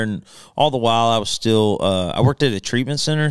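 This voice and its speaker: A man with a Southern US accent talks at a fairly quick pace with ordinary pitch variation, in a dry sound with no echo and a quiet background. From Alabama, Birmingham. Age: 30s. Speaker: country singer. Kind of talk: casual chat. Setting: studio. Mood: relaxed storytelling. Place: studio. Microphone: studio mic.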